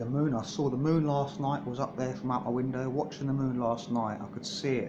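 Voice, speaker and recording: There is audible room echo and noticeable background noise as a man talks at a fairly quick pace, his fairly high pitch showing ordinary variation. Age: 30s. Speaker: vlogger. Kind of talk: personal video diary. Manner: halting, repetitive.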